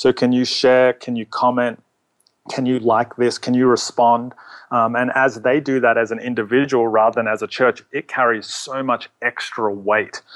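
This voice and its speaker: Speaking at a medium pitch and a moderate pace, a man keeps a monotone, flat intonation in a dry, close sound with no echo. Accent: American. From Australia, Melbourne. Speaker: church social media pastor. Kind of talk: casual interview.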